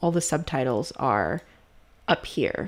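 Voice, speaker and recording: On a very clean recording with a silent background, a woman with a fairly low pitch and vocal fry speaks with lively intonation. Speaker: video editing instructor. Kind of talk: tutorial.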